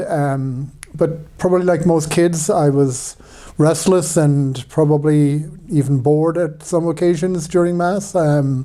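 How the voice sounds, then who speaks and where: With an Irish accent, this man's fairly high voice has a dark, mellow tone and fairly even intonation. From Ireland. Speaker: priest. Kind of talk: personal testimony talk. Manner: hesitant, many fillers.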